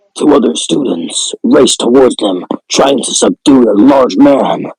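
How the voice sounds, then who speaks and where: Recorded dry and close with no echo, a man speaks at medium pitch and a moderate pace. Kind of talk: horror story reading, half joking. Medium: read story. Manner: casual, profane.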